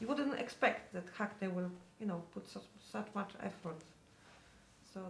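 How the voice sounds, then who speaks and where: A woman talks at a moderate pace in a Polish accent. Noticeable background noise sits behind her. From Poland. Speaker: parent of teenager. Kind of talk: interview.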